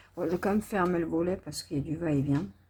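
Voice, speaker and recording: A soft-spoken, somewhat breathy voice with a dark, mellow tone. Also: woman. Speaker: diamond painting vlogger. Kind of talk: casual vlog talk. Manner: speaking softly.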